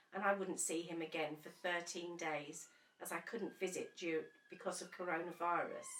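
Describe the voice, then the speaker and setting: Moderate-paced speech with fairly even intonation, in an English accent. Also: woman. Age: 60s. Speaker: bereaved partner. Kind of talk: personal testimony.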